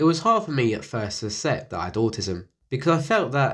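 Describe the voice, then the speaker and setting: Vocal fry runs through this man's voice. His pitch swings very widely. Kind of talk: documentary narration.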